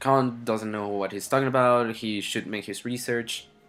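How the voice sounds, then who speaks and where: A man speaks at a medium pitch with fairly even intonation, on a very clean recording with a silent background. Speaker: gaming video creator. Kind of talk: casual vlog commentary. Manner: hesitant, many fillers.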